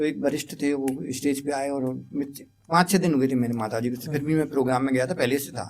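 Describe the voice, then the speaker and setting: The speaker has a plain, everyday voice. Not much rise and fall colors the fairly even intonation. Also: man, fairly high pitch for a man. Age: 60s. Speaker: educator. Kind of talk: interview.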